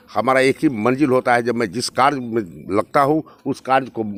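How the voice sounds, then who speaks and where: A man with vocal fry speaks at a medium pitch and moderate pace, recorded with a dry, close sound and no echo. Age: 60s. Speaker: politician. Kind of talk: campaign interview. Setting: outdoors at night.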